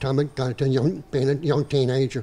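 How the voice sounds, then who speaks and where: Somewhat breathy and dark, mellow in tone, the voice moves at a moderate pace in a Southern Louisiana accent, with monotone, flat intonation. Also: man. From southeast Louisiana. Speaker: dugout builder. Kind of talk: panel talk. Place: hall. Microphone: handheld.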